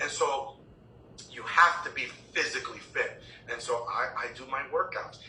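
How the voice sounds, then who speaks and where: A man at a moderate pace, with long, frequent pauses, big swings in loudness, audible room echo and noticeable background noise. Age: 60s. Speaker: chiropractic college president. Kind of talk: interview.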